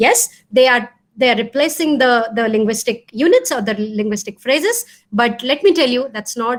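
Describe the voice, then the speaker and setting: With an Odisha accent, a woman speaks at a moderate pace with ordinary pitch variation. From India (Odisha). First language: Odia. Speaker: professor. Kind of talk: lecture Q&A. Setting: video call. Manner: hesitant, many fillers.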